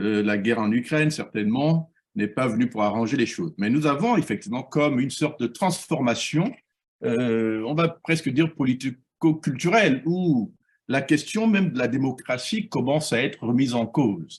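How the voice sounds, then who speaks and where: This man has a normal speaking voice, medium in pitch, and keeps a moderate pace. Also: lively intonation. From Gabon. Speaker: professor and political activist. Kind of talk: interview.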